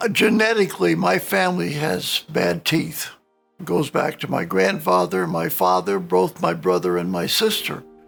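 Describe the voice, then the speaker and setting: A man is talking at a moderate pace. Behind him, music can be heard. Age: 70s. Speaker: dental implant patient. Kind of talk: patient testimonial.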